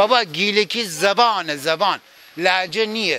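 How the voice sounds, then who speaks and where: A man speaks at a fairly slow pace in a raised, projected voice that sits high in pitch. Noticeable background noise runs under him. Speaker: passerby interviewee. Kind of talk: street interview.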